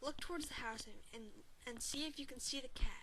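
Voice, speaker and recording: Putting on a character voice, a woman speaks at a high pitch and a fairly quick pace against clear background noise. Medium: read story. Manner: authoritative, brisk.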